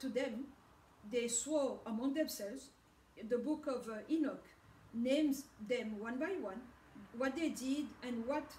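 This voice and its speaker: In a French accent, a woman speaks fairly slowly with a high pitch and ordinary variation. There is light background noise and audible room echo. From DR Congo (Katanga). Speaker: religious video blogger. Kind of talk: religious monologue. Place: home room. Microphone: camera far.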